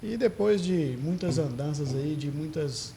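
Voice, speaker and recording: With audible room echo, a man speaks at a fairly high pitch in a dark, mellow, somewhat breathy tone with lively intonation. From Teófilo Otoni, Minas Gerais, Brazil. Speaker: doctor. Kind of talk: interview.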